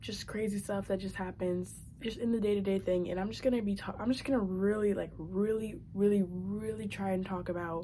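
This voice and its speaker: A woman's somewhat breathy, dark, mellow voice at medium pitch. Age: young. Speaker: vlogger. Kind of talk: casual vlog monologue. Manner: fast; halting, many fillers.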